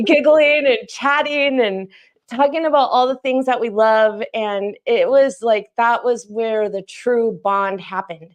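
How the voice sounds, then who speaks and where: Against a quiet background, a woman speaks loudly and fairly slowly at a high pitch, her pitch varying in an ordinary way. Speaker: YouTuber and teacher, special guest. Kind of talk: casual chat. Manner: animated.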